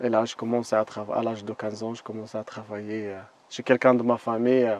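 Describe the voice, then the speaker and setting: Monotone, flat intonation carries speech delivered at a moderate pace. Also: man. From Moroccan desert. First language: not French; learned French as a guide (speaking French). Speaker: desert guide. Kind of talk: interview. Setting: outdoors in the desert. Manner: halting, with many hesitations.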